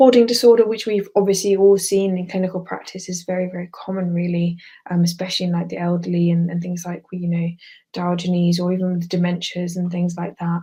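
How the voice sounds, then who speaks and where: A woman talks very fast in a fairly low, dark and mellow voice that is somewhat breathy, with flat, monotone intonation. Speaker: psychiatry exam revision tutor. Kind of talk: online lecture. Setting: live video webinar.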